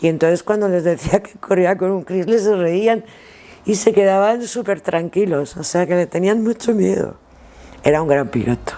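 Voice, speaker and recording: Over noticeable background noise, a woman speaks at a moderate pace. She has a medium pitch and ordinary pitch variation. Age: 60s. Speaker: former rally driver and co-driver. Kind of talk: interview, reminiscing. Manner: halting, with repetitions.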